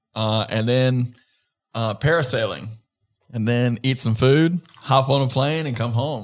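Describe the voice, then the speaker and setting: A man's medium-pitched voice in an American accent, an ordinary speaking voice at a fairly slow pace with fairly even intonation. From North Carolina. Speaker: podcast co-host. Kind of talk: casual chat.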